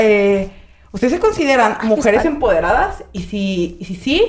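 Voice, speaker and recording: Very wide pitch swings from a woman with a fairly high voice. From Michoacán, Mexico. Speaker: podcast host. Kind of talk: casual chat.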